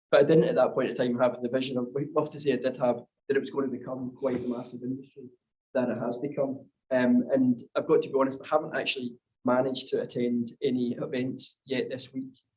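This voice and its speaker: Delivered at a very fast pace, the speech stays monotone with flat intonation. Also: man, medium pitch for a man. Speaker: renewable energy consultant. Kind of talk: panel discussion in a webinar.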